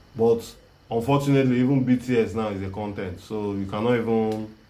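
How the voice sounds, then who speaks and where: A man's dark, mellow tone at a fairly quick pace, with fairly even intonation and audible room echo. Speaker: filmmaking teacher. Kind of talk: live online class. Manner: halting.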